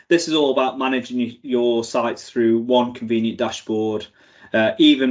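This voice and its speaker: Here is a man speaking. His pitch sits in the medium range. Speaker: tech company presenter. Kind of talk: conference talk. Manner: fast; halting, many fillers and restarts.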